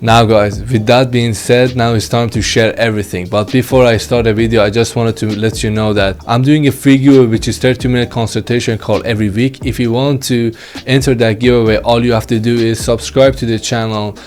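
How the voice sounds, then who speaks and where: A man speaks with a non-native accent at a fairly quick pace, with hardly any pauses. His intonation stays fairly even. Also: medium pitch for a man. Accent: non-native English, self-described. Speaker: e-commerce YouTuber. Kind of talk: casual vlog talk to camera. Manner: halting with fillers.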